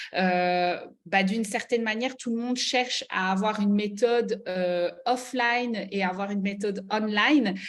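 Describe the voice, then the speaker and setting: The speaker has a Belgian accent. The pace is fairly slow, and the intonation fairly even. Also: woman, medium pitch for a woman. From Belgium, Liège. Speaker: network marketing mentor. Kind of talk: online mentoring presentation. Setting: video call. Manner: hesitant, many fillers.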